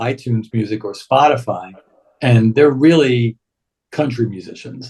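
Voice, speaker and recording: Somewhat breathy, a man's voice sits at a medium pitch. He keeps a moderate pace and fairly even intonation. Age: 60s. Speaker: radio show host. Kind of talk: casual chat.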